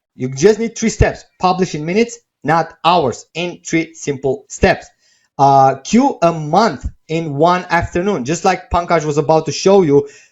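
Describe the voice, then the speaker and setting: A man with a non-native accent talks at a fairly slow pace and high pitch, with ordinary pitch variation. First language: not English. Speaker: webinar presenter selling software. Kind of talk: sales pitch. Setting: live stream webinar. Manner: casual, with many fillers.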